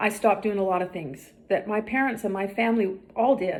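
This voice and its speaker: At a fairly quick pace, a woman speaks in an ordinary speaking voice, her pitch medium and her intonation fairly even. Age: 60s. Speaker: health and fitness vlogger. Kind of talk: direct-to-camera vlog monologue.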